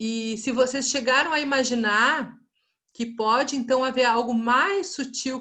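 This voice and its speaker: With a southern Brazilian accent, a woman speaks at a fairly slow pace in a high pitch with ordinary pitch variation and a bright, sharp tone over a quiet background. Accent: gaúcho (southern Brazilian). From southern Brazil, Rio Grande do Sul. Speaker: lecturer in anthroposophy. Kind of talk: online lecture. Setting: video call. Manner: conversational, with hesitations.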